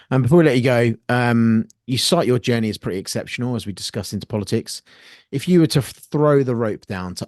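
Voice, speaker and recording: Against a quiet background, a man speaks in a British accent. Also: dry, close sound with no echo. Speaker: podcast host and army veteran. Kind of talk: interview.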